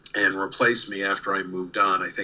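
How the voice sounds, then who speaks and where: A man with a slight New York accent, talking at a fairly slow pace. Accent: faint New York. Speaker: comic artist and former studio assistant. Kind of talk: casual interview.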